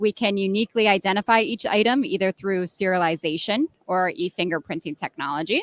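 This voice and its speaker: An ordinary speaking voice with an American accent moves at a fairly quick pace with lively intonation and hardly any pauses, recorded with a dry, close sound and no echo. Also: woman, medium pitch for a woman. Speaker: software product strategist. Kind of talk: interview. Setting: exhibition floor.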